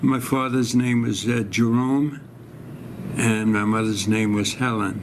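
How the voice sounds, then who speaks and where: Amid noticeable background noise and audible room echo, a man with a New York accent speaks at a medium pitch and a fairly slow pace, with very even loudness. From New York City (Brooklyn). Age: 90s. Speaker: war veteran. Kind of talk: oral history interview. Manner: halting.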